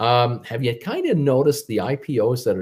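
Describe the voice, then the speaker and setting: Speaking with an American accent, a man's voice comes across as somewhat breathy. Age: 60s. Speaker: stock market commentator. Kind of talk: casual livestream monologue. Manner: halting, many fillers and repetitions.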